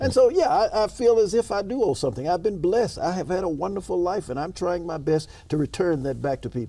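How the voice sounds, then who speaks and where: A man speaks very fast at a high pitch with lively intonation. His tone is dark and mellow. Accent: Memphis. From US South, Memphis, Tennessee. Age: 60s. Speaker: state senator, politician. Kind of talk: interview.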